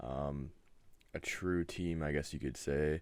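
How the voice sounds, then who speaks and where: In a very clean recording with a silent background, a soft-spoken man talks at a fairly slow pace. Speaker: gaming league host. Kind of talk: casual video update. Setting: webcam at home. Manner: monotone.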